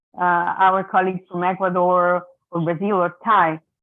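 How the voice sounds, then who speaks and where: This woman has a medium-pitched voice with an Italian accent. She talks at a fairly slow pace. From Italy. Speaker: mediator. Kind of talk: symposium talk over video. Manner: hesitant, many repetitions.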